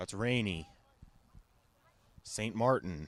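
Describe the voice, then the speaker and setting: The voice moves at a very slow pace. Its pitch variation is ordinary. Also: man. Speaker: sports broadcaster. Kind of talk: soccer play-by-play commentary.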